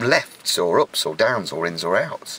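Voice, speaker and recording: A man with an English accent, against noticeable background noise. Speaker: video blogger. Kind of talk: casual chat.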